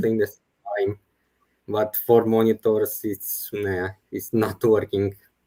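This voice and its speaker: A man speaks very slowly at a fairly low pitch, flat and monotone, in a dark, mellow tone. His loudness swings a lot, and the sound is dry and close without echo. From Romania. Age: 20s. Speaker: full-time trader. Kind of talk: interview answer.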